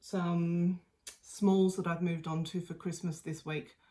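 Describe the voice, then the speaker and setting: A woman with an Australian accent speaks at medium pitch with fairly even intonation. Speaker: craft video host. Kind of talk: casual video chat. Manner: hesitant, many ums.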